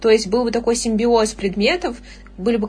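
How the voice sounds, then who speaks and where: Noticeable background noise sits behind a woman speaking at a fairly quick pace, her fairly high pitch moving with ordinary variation. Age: young. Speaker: university student and online tutor. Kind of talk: casual chat.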